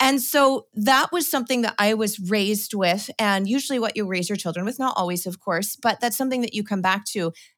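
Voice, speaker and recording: In a very clean recording with a silent background, a woman with an American accent speaks with ordinary pitch variation and hardly any pauses. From Washington State, US Pacific Northwest. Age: 40s. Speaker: homesteader and gardening author. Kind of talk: casual interview.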